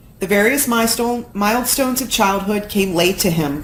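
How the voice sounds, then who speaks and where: A woman with an American accent and an unremarkable speaking voice, at a fairly slow pace with ordinary pitch variation. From Florida. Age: 40s. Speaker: paralegal. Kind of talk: live story reading.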